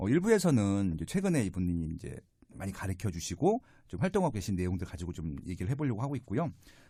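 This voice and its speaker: A very fast, somewhat breathy man's voice, fairly low-pitched with a dark, mellow tone and very wide pitch swings, in a very clean recording with a silent background. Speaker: real estate podcast host. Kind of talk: interview podcast. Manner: conversational, with fillers.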